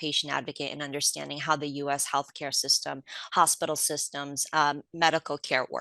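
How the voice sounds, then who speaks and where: A woman with a Polish accent, a very deep, low pitch, a bright, sharp tone and a fairly quick pace, against a quiet background. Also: dry, close sound with no echo. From Poland, immigrated to US as a child. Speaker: patient advocate. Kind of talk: interview.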